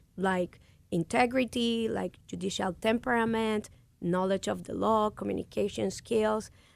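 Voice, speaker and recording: A woman with a Puerto Rican accent at a moderate pace. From Puerto Rico. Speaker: lawyer and judicial candidate. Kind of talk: radio interview. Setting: radio studio. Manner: passionate, animated; hesitant with many fillers.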